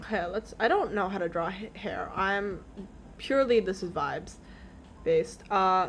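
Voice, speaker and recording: This woman's pitch sits at a medium level and varies in an ordinary way as she talks at a moderate pace. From Canada. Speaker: streamer. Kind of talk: casual chat. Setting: live stream. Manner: animated.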